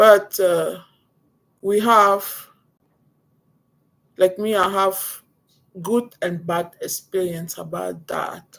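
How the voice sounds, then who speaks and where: A woman with a non-native accent speaks very slowly in a medium pitch and a monotone, flat intonation, leaving long, frequent pauses. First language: not English. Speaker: vlogger. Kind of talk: personal vlog. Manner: halting.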